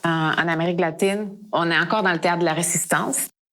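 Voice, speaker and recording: A woman with a rather deep voice and normal pitch movement talks while clear background noise runs underneath. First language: Spanish (speaking French). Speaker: theatre director. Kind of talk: interview. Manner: halting.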